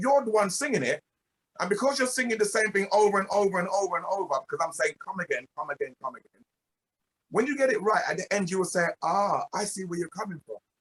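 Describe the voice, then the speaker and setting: A loud man at a very fast pace, high in pitch, with lively intonation and a dry, close sound with no echo. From England (UK-born, Jamaican heritage). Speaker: reggae singer and producer. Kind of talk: interview. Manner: emphatic.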